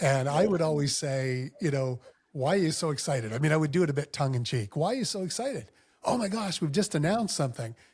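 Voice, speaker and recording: With a somewhat breathy, fairly high-pitched voice, a man races along at a very fast pace using lively intonation. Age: 50s. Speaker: former mayor. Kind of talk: casual chat.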